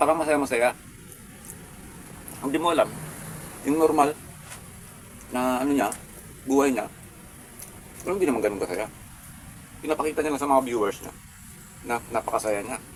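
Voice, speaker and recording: Over noticeable background noise, a man with a fairly high pitch and ordinary pitch variation talks at a fairly quick pace, broken by long, frequent pauses. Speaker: food vlogger. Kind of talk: mukbang vlog. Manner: calm, subdued.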